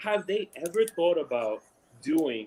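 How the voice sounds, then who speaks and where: Someone talks with a New York accent over noticeable background noise. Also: man. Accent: heavy New York. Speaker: sports podcast host. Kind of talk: casual chat. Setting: live stream watch party. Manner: casual, filler-heavy.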